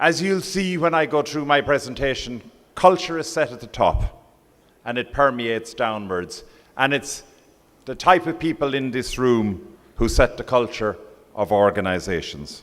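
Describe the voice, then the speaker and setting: A man with an Irish accent and lively intonation. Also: moderate pace. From Ireland. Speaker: professional body president. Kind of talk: conference speech. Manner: formal.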